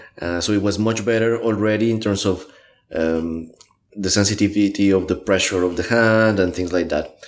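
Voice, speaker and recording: Speaking with a Spanish accent, a man keeps his fairly low voice at a fairly even intonation. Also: moderate pace. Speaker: graphic recorder and trainer. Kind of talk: interview. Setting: in person in Melbourne. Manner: halting.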